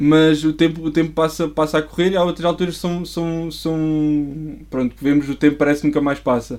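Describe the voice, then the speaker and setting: A man with a fairly high-pitched voice speaks in a monotone, flat intonation. He barely pauses. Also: moderate pace. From Portugal, Coimbra. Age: 20s. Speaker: church member and designer. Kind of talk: casual interview chat.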